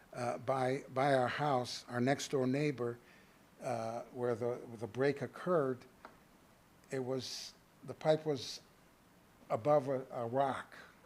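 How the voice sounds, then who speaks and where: A man speaks at a medium pitch with monotone, flat intonation. His pace is very slow, broken by long, frequent pauses. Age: 70s. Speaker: resident speaking at public comment. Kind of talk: public comment at council meeting. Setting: city council meeting. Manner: halting, many repetitions and fillers.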